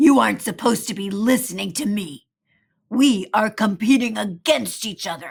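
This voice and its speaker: Putting on a growling character voice, a woman at medium pitch speaks at a moderate pace with big swings in loudness. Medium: read story.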